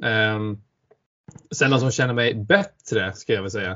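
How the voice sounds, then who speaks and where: This is a man with a medium-pitched voice. It comes across somewhat breathy. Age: 20s. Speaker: podcast co-host. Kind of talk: casual chat.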